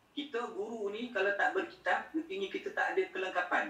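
A man speaks at a fairly quick pace with a Malaysian accent, his pitch swinging very widely. His tone is bright and sharp, and the room echo is audible. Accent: Malaysian Malay. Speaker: Islamic scholar and teacher; teacher. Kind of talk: lecture. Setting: video call. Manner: soft-spoken. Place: home room.

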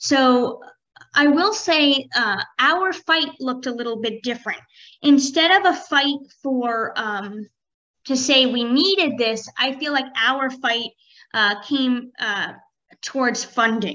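A raised, projected voice with a bright, sharp tone, lively intonation, a very slow pace, and long, frequent pauses, over a quiet background. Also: woman, high pitch for a woman. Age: 30s. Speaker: professor. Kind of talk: panel presentation. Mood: warm, enthusiastic. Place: home room.

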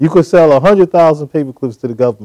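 Against a quiet background, a man with an American accent speaks at a fairly high pitch in a dark, mellow tone with ordinary pitch variation. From New York, Brooklyn; New York. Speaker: business leader and PR consultant; guest. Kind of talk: interview. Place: studio. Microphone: lapel.

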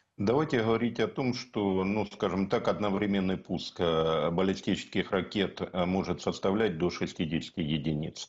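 Very deep and low in pitch, a man's voice holds very even loudness, ordinary pitch variation, and hardly any pauses. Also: fairly slow pace. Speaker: military-political analyst. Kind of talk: TV news interview. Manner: formal. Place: home room. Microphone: video call.

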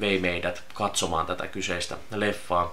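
A man's fairly low voice at a fairly slow pace. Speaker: vlogger. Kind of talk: casual vlog chat. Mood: nostalgic, relaxed. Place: home room.

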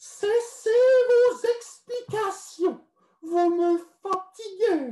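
A put-on character voice, female-sounding, squeaky and extremely high-pitched, comes at a very slow pace with long, frequent pauses. There is audible echo. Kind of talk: story reading with character voice. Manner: disgusted, weary.

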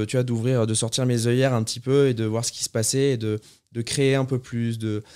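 A dark, mellow tone delivered at a moderate pace with monotone, flat intonation. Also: man, quiet background. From south-west France, near Bordeaux; south-west France. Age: 30s. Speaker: chef; podcast guest. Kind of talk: casual interview. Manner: hesitant, many fillers. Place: studio. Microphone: studio mic.

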